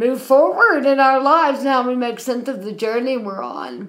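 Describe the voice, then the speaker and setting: A woman with an American accent, with audible echo from the room. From US South, Athens, Georgia. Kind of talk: casual chat.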